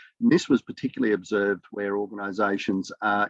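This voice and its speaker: A man with an Australian accent talks at a fairly quick pace. His pitch is fairly low, with ordinary variation. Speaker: academic researcher. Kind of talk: conference presentation. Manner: fast.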